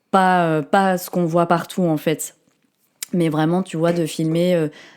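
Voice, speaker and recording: A woman speaks at a fairly low pitch and a fairly slow pace in a monotone, flat intonation. The recording is very clean with a silent background. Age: 30s. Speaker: artist and content creator. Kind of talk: casual interview chat.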